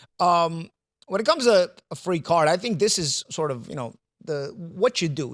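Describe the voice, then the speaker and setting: Lively intonation at a moderate pace, with a New York accent, in a dry, close sound with no echo. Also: man. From New York City. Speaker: boxing pundit. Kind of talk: casual panel discussion. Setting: studio. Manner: halting, many repetitions.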